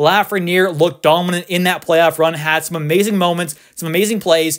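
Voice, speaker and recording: Loud and excited in tone, a man with a high-pitched voice talks at a fairly quick pace on a very clean recording with a silent background. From Canada. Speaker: sports YouTuber. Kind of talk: casual commentary video. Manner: loud, excited.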